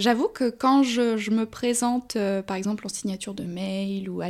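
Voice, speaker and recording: Using an ordinary speaking voice, a woman with fairly high pitch and ordinary pitch variation keeps a moderate pace. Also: very clean recording, silent background. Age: 20s. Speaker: film assistant director. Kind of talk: casual interview.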